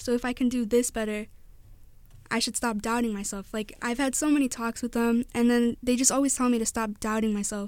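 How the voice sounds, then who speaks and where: The speech comes fairly quickly in a Midwestern American accent, with monotone, flat intonation. The recording is very clean, with a silent background. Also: woman, high pitch for a woman. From northwest Indiana. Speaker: college student. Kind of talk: radio interview. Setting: studio.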